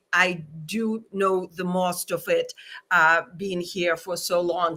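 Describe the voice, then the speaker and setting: On a very clean recording with a silent background, a woman with a non-native accent speaks in a bright, sharp tone with fairly even intonation. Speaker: journalist. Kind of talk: interview.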